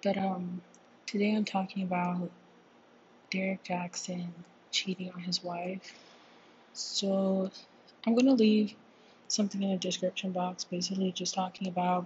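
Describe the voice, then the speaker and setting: A somewhat breathy woman in a monotone, flat intonation, with long, frequent pauses. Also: medium pitch for a woman, moderate pace. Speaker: podcast host. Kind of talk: casual commentary. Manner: hesitant, many fillers. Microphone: room echo.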